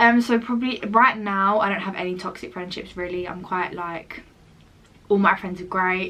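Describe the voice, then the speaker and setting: A woman at a medium pitch speaks with big swings in loudness. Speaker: lifestyle vlogger. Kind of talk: casual chat. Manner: fast; animated.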